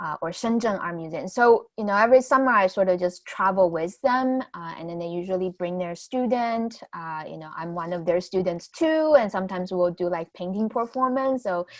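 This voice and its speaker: A woman with a Chinese accent, lively intonation, big swings in loudness and hardly any pauses. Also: medium pitch for a woman, moderate pace. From southwest China, Guizhou, Guiyang. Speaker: new media artist and educator. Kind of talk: artist talk. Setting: virtual event video call. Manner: halting, many fillers.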